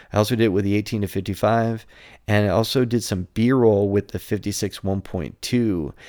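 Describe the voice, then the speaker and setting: The recording is dry and close with no echo. It is an ordinary speaking voice with ordinary pitch variation. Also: man. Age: 50s. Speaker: photography podcaster. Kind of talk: solo podcast monologue. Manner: casual with frequent fillers.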